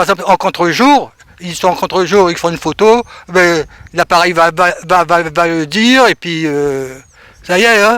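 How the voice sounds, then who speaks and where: A man with a high pitch and a bright, sharp tone talks at a fairly slow pace with ordinary pitch variation, the sound dry and close with no echo. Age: 70s. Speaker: retired photojournalist. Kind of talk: radio interview. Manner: casual, hesitant with fillers.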